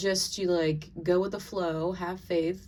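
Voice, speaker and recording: Fairly low female speech with audible room echo and noticeable background noise. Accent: Southern US. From US South. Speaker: tarot and oracle card reader. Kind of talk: oracle card reading monologue. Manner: casual, filler-heavy.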